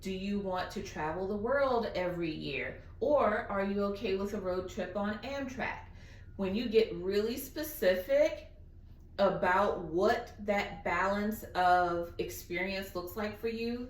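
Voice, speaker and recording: A woman with a Southern US accent talks at a fairly slow pace and medium pitch, with ordinary pitch variation and audible room echo. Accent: southern drawl. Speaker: guest speaker. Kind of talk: Q&A on video call.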